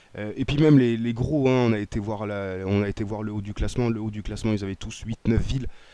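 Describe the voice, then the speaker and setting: This man's dark, mellow voice keeps a fairly even intonation on a very clean recording with a silent background. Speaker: gaming YouTuber. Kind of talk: gameplay commentary. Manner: hesitant, many fillers.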